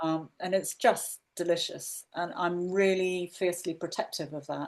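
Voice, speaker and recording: A woman's fairly low, monotone, flat voice at a fairly slow pace. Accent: English. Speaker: podcast co-host. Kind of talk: casual podcast conversation.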